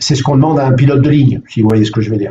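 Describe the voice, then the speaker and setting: A man's very fast, somewhat breathy speech, dark and mellow in tone, medium in pitch, with fairly even intonation. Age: 60s. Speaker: mental coach. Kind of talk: live online coaching session. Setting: live video stream. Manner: halting, many fillers.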